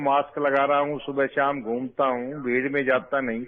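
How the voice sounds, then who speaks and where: A man's voice sits at a fairly high pitch. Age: 60s. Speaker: caller, retired police inspector. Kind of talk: call-in question.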